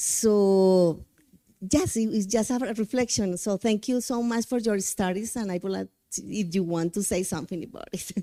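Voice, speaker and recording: A woman with a Spanish accent speaks at a moderate pace in a fairly high pitch and a dark, mellow tone, on a very clean recording with a silent background and a dry, close sound with no echo. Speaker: English teacher, audience member. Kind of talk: audience comment at conference. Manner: halting.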